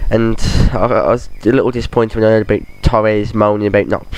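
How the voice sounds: With a slightly mellow tone and fairly low pitch, a man speaks at a fairly quick pace with little pitch movement.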